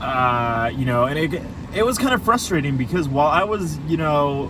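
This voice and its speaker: Noticeable background noise is heard as a man talks. His voice also carries audible room echo. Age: 20s. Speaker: vlogger. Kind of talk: casual chat. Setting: in a car. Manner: halting.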